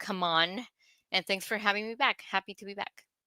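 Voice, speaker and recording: A woman with a Spanish accent speaks at a medium pitch with a bright, sharp tone and fairly even intonation, in a dry, close sound with no echo on a very clean recording with a silent background. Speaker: nurse, recurring segment co-host. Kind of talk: live podcast chat, reading viewer comments.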